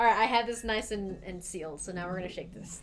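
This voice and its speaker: A woman with an American accent, with music in the background and audible room echo. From US, Idaho. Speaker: livestream host making cocktails. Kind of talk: casual livestream chat.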